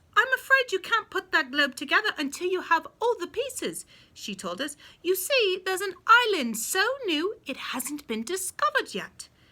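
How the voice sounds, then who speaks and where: A woman's put-on character voice, extremely high-pitched, with very wide pitch swings, big swings in loudness and a moderate pace. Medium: read story. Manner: cheerful, upbeat.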